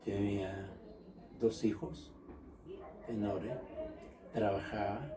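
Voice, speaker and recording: A man's fairly low voice at a very slow pace, with long, frequent pauses, ordinary pitch variation and audible room echo. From Chile. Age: 70s. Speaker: interviewee recalling history. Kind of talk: oral history interview.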